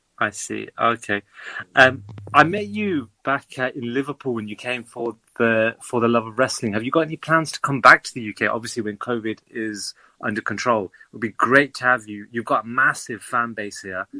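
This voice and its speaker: Bright and sharp in tone, a man speaks with a British accent and ordinary pitch variation. His loudness swings widely, and the sound is dry and close with no echo. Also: medium pitch for a man, moderate pace, very clean recording, silent background. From United Kingdom. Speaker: fan asking questions. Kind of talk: casual interview.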